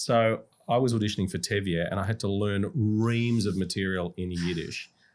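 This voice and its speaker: A fairly low-pitched man with an Australian accent at a moderate pace, on a very clean recording with a silent background. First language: Russian. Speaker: musical theatre actor. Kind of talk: podcast interview. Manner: animated.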